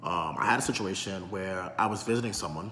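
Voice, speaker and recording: The speaker has a New York accent and fairly even intonation. Room echo can be heard. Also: man. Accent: New York City. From New York City, South Bronx. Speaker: vlogger. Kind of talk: monologue commentary. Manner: articulate; repetitive fillers.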